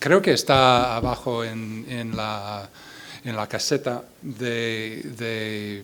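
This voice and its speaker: Audible room echo surrounds a man speaking. His pitch is medium and his intonation fairly even. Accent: English. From US Midwest, Iowa. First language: English (speaking Spanish). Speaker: poet and translator. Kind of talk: poetry reading with spoken introduction. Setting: stage with audience at a book fair. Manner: halting, repeats words.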